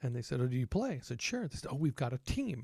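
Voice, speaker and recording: With an American accent, a man speaks at a medium pitch in a dark, mellow, somewhat breathy tone, recorded very cleanly with a silent background and a dry, close sound with no echo. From Texas. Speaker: trumpet player and teacher. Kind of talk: casual podcast conversation.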